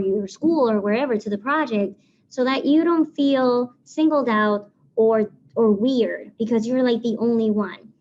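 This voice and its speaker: In a Spanish accent, a woman speaks at a fairly high pitch. Her tone is dark and mellow. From Puerto Rico. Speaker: civil engineer. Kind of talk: presentation.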